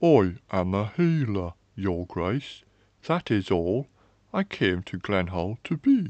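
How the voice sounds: In a low, slightly mellow put-on character voice with big pitch swings, a man talks slowly in a dry, close sound with no echo.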